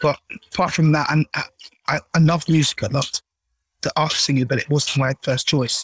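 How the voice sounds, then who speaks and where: In a South London accent, a man with a fairly high pitch and a somewhat breathy voice speaks at a moderate pace with fairly even intonation and long, frequent pauses, with a dry, close sound and no echo. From South London, Caribbean family. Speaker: singer. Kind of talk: interview.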